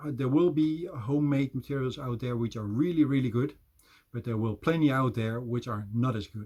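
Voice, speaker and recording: Somewhat breathy, a man with a Dutch accent talks at a medium pitch and moderate pace with ordinary pitch variation. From Netherlands. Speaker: business development manager. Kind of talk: presentation.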